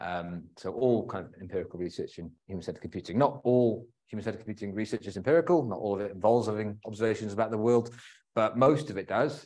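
Very fast speech from a man at a fairly low pitch. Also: ordinary pitch variation. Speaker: presenter. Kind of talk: lecture. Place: hall.

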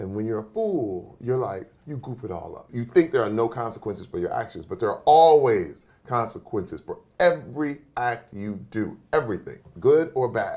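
With big swings in loudness, a man speaks in a dark, mellow tone with lively intonation. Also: moderate pace. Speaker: interview guest. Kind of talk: motivational speech. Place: studio.

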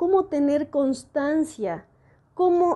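The voice has a dark, mellow tone against a quiet background. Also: woman. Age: 40s. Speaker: educational video host and translator; educational video host. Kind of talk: educational monologue. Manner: reflective, conversational. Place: home room. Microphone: earbuds.

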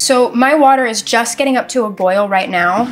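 Faint music plays behind a woman whose pitch varies in an ordinary way. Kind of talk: tutorial. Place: kitchen.

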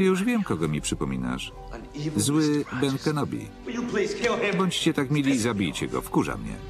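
Long, frequent pauses come at a moderate pace. Music sits in the background. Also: man. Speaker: Polish film voice-over reader (lektor). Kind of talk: single-voice film translation read over the original soundtrack.

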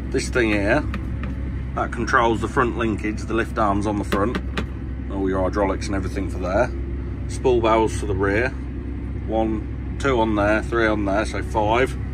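A man with a very deep, low pitch, very wide pitch swings, long, frequent pauses and noticeable background noise. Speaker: farmer driving tractor. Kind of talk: casual tutorial commentary. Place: farm machine.

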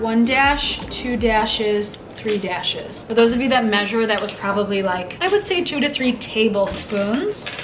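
Speaking at a moderate pace with hardly any pauses, this voice shows ordinary pitch variation over noticeable background noise. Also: woman. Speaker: home cooking vlogger. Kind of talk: tutorial. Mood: cheerful and chatty. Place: kitchen. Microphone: camera far.

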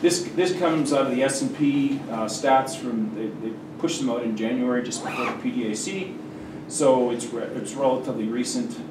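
Male voice at a moderate pace, ordinary pitch variation, over noticeable background noise. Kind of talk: lecture. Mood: relaxed, occasional laughter. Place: classroom.

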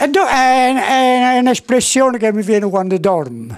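A high-pitched man in a Campanian accent, very slow pace and lively intonation, quiet background. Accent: Campanian dialect-inflected Italian. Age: 80s+. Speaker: interviewee. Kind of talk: interview answer. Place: workshop. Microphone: handheld.

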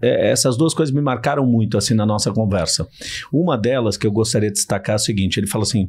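A man's dark, mellow, somewhat breathy voice, fairly quick, with ordinary pitch variation. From São Paulo, Brazil. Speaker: podcast host. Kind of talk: casual interview chat. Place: studio. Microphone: studio mic.

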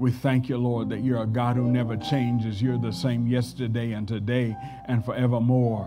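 At a moderate pace, a man speaks while clear music sounds in the background. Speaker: preacher. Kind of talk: scripture reading and prayer. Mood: reverent prayer. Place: church. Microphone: podium.

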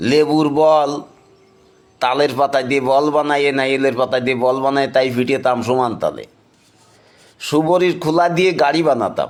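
A man speaks with a Khulna accent. His pitch is fairly high and his intonation fairly even. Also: very even loudness. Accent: Khulna regional dialect. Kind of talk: nostalgic storytelling to camera.

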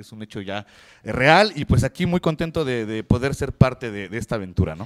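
A man speaks fairly quickly over a quiet background, his pitch swinging very widely. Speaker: wrestler, team captain. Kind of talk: wrestling promo-style interview answers. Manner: slightly nervous, halting, humble. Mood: happy, enthusiastic. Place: studio. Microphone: handheld.

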